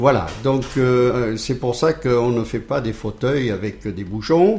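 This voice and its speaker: His voice is somewhat breathy and medium in pitch, with ordinary pitch variation. The man speaks at a very slow pace. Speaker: charity volunteer. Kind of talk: radio interview. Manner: hesitant, many repeated words and fillers.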